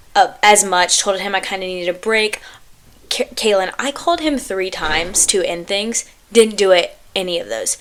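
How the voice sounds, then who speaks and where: Her pitch medium and varying in an ordinary way, a woman speaks in an ordinary speaking voice. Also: moderate pace. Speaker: podcast host. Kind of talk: casual chat.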